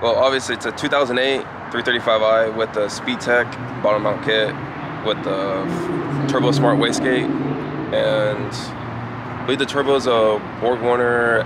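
A man's fairly slow speech, dry and echo-free, with noticeable background noise. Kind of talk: interview answer. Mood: relaxed, friendly. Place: street. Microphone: phone near.

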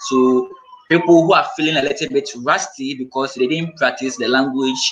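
A man with a Ghanaian accent speaks at a moderate pace and fairly high pitch. Light background noise sits behind him. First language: Twi. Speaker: language school founder; guest. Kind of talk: live-streamed panel discussion. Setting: video call. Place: home room. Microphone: video call.

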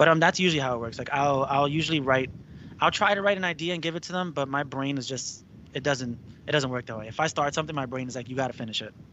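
Light background noise sits under a dry sound with no echo as the speaker goes at a very fast pace with ordinary pitch variation. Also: man, fairly high pitch for a man. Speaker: rock band singer; guest. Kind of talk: casual interview. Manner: laid-back, casual with frequent laughter. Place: home room. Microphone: studio mic.

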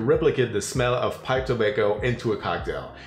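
A man's voice with audible room echo and light background noise. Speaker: home bartender host. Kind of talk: tutorial. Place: kitchen.

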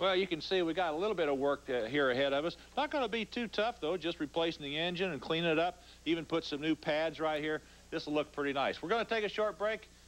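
Pitched high, a man rattles along at a very fast pace with ordinary pitch variation. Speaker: TV show co-host. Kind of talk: tutorial. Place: garage.

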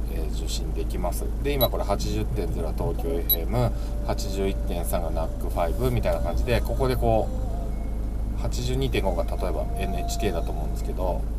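A man speaks at a very slow pace. Loud background noise fills the recording. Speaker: van owner reviewing a car stereo. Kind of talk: tutorial. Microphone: phone near.

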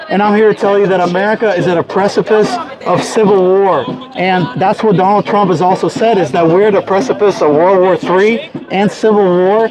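Amid noticeable background noise, a man speaks at a fairly quick pace. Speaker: street preacher. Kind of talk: street sermon. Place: street.

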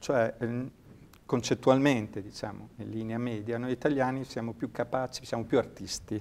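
Pitched at a medium level, a man talks at a moderate pace in a monotone, flat intonation. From Ravenna, Italy. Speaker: sports science researcher and lecturer. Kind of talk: interview. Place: studio. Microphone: lapel.

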